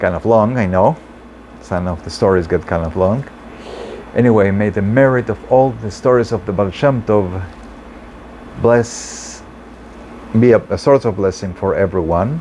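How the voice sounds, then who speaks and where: A man with a non-native accent talks at a moderate pace and a fairly low pitch, with ordinary pitch variation. He leaves long, frequent pauses over noticeable background noise. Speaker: storyteller and translator. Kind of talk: storytelling. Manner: halting.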